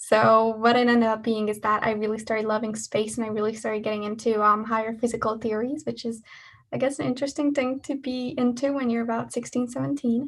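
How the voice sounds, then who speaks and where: A woman speaks at a very fast pace with a Hungarian accent. Her voice is somewhat breathy. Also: fairly high pitch for a woman. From Hungary. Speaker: engineering student. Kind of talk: talk at an online student event. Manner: talkative, lively.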